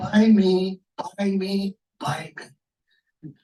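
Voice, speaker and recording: The voice is a put-on character voice. Its pitch is in the middle. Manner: pleading, repetitive.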